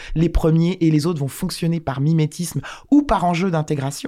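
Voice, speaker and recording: A dark, mellow tone with ordinary pitch variation. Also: woman. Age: 40s. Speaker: bank communications director. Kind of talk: interview. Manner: halting.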